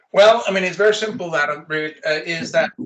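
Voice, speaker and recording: A man with a slight Danish accent and ordinary pitch variation. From Denmark. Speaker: corporate recruiter. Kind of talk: interview.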